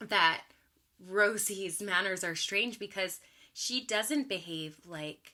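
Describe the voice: The speaker does plain reading aloud.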